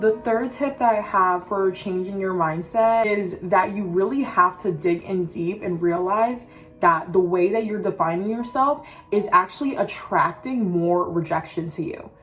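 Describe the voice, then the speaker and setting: Music plays in the background. A woman talks at a moderate pace with a medium pitch. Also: ordinary pitch variation. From Cameroon. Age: 20s. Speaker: self-development content creator. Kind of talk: motivational pep talk to camera. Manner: casual, conversational.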